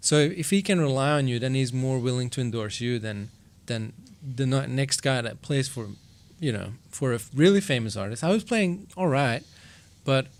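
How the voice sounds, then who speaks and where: Lively intonation marks this man's Flemish Belgian accent. His pitch is medium and his pace moderate. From Belgium (Flanders). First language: Flemish (Dutch). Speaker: session drummer. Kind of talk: podcast interview. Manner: casual, hesitant with fillers.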